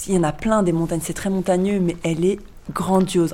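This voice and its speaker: A woman speaks at a medium pitch. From France. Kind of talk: interview.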